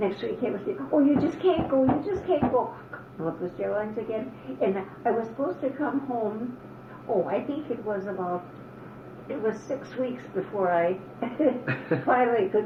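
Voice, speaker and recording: A woman in an American accent at a moderate pace, with long, frequent pauses over noticeable background noise. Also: fairly high pitch for a woman. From Upper Peninsula of Michigan, US. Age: 80s+. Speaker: elderly mother interviewed by her son. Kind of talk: oral history interview.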